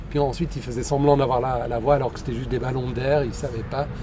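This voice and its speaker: Audible room echo colors the recording. A man speaks at a medium pitch. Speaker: podcast host. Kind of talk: casual chat. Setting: outdoors in a park.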